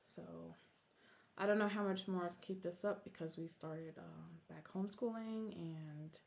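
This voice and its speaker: At a moderate pace, a woman with a fairly low pitch speaks with ordinary pitch variation. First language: Korean. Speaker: cross-stitch vlogger. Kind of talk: casual chat. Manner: casual, with many fillers.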